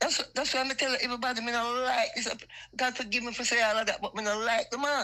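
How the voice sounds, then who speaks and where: With a Jamaican accent, the speaker goes at a very fast pace in a bright, sharp tone. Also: woman, high pitch for a woman. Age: 60s. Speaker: caller. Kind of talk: heated opinion call-in. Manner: animated.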